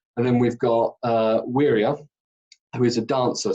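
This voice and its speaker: A man with a British accent at a moderate pace. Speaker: actor, singer and director. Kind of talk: casual interview chat.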